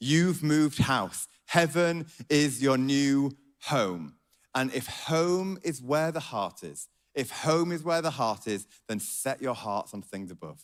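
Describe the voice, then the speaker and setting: In a Yorkshire accent, a man speaks at a very slow pace with a fairly high pitch and lively intonation. The recording is very clean, with a silent background. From Yorkshire, northern England. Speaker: pastor. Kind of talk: sermon.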